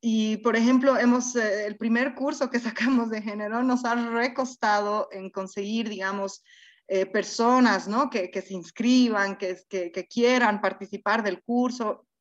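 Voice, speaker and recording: A woman speaks at a fairly high pitch and a fairly slow pace. Her intonation stays fairly even against a quiet background. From Bolivia. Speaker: institute co-founder, sociologist. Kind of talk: interview.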